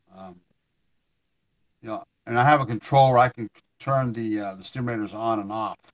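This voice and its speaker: A man with an American accent speaks at a moderate pace and medium pitch, with fairly even intonation, in a dry, close sound with no echo. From Ohio, US. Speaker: artist with Parkinson's disease. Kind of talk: casual interview chat. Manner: halting, many fillers and repeats.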